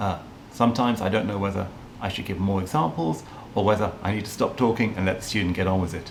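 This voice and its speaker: Amid audible room echo, a man with a fairly low pitch talks at a very fast pace with ordinary pitch variation. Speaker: teacher. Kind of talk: interview. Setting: video call.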